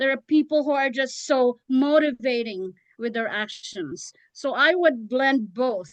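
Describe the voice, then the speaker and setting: This woman talks at a fairly slow pace. Her voice is high-pitched, with ordinary pitch variation. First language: not English. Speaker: public speaking club leader. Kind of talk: panel discussion.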